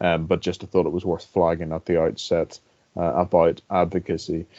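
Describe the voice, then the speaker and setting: A man with a Northern Irish accent, very deep and low in pitch, at a fairly quick pace. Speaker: government lawyer, barrister. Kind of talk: panel talk. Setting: webinar. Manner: hesitant, many fillers.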